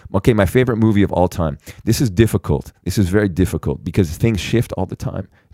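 Captured in a very clean recording with a silent background and a dry, close sound with no echo, a man speaks at a very fast pace in a fairly low pitch with ordinary variation. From Canada. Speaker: actor. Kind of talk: casual chat. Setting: studio.

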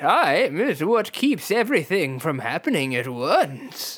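A man puts on a character voice, pitched high and swinging very widely, at a fairly slow pace. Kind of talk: mock-mystical pronouncement. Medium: read story. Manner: firm, solemn, oracular.

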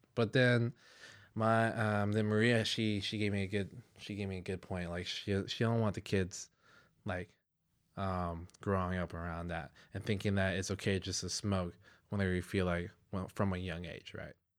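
A man with an unremarkable speaking voice talks at a moderate pace, his pitch fairly low. His intonation stays fairly even in a very clean recording with a silent background. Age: 20s. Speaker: podcast guest, friend of host. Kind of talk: casual chat. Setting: in person, sitting together.

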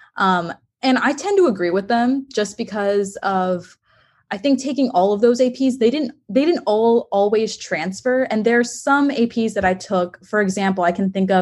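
Against a quiet background, a woman with an American accent and a fairly high pitch talks at a moderate pace in a somewhat breathy voice. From Texas. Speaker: college student. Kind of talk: interview. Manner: hesitant, many fillers.

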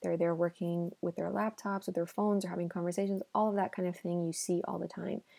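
A woman with a Spanish accent speaks very fast with hardly any pauses, her fairly low voice dark and mellow in tone, with monotone, flat intonation. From Miami, US. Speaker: podcast host. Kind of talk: solo podcast monologue. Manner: slightly halting English.

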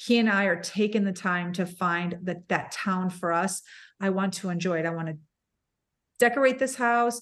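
Against a quiet background, a woman with a plain, everyday voice speaks at a moderate pace and medium pitch with ordinary pitch variation. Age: 50s. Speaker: podcaster. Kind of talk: casual chat.

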